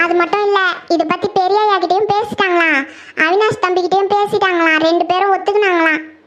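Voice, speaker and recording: A woman does a cartoonish character voice at an extremely high pitch. Her pace is moderate, her intonation fairly even, and her loudness very even. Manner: earnest, respectful, calls others "amma" and "pappa".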